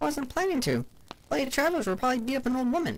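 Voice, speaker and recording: Someone talks very fast in a high-pitched, put-on character voice. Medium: read story. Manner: chatty, exaggerating.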